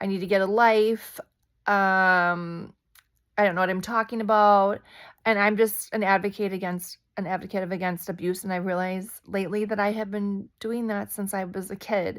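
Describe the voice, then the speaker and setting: Quiet and monotone, with flat intonation, a woman speaks at a medium pitch. Her pace is moderate, on a very clean recording with a silent background. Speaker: spiritual vlogger. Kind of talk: casual vlog monologue. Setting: at home at night.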